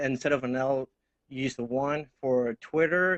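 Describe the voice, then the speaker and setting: The delivery comes at a fairly slow pace, in a monotone, flat intonation. It carries a slight Mexican accent. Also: man. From Mexico. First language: Spanish. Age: 20s. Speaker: tech enthusiast guest. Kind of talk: casual tech chat. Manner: halting, with stammers and fillers.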